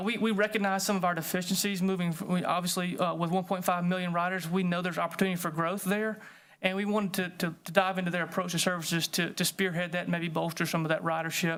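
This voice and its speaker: The speech runs at a very fast pace with hardly any pauses. The recording is very clean, with a silent background. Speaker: city transit staff presenter. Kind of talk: committee presentation. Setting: city committee meeting.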